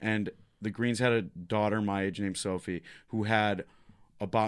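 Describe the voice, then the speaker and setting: A man with a medium-pitched, normal speaking voice on a very clean recording with a silent background. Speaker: stand-up comedian. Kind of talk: casual chat. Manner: joking, irreverent.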